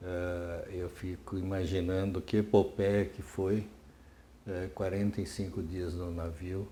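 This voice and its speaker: A man's very deep, low voice, dark and mellow and somewhat breathy, at a very slow pace. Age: 70s. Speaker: retired psychiatry professor. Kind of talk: oral history interview. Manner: hesitant, many fillers and repetitions.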